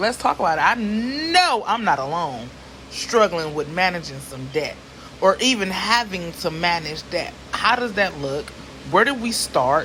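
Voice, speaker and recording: Over noticeable background noise, a woman speaks in an animated tone at a moderate pace, her pitch swinging very widely. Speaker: vlogger. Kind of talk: casual talk to camera.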